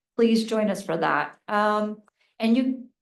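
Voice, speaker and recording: An ordinary speaking voice with an American accent goes at a moderate pace. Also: woman. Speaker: mayor. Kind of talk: council meeting report.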